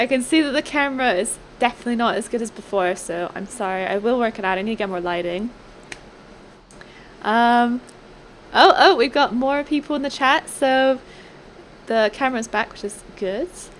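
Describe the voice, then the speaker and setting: Soft-spoken and high-pitched, a woman talks at a moderate pace with lively intonation and long, frequent pauses. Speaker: video game streamer. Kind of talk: live stream commentary. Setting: live stream.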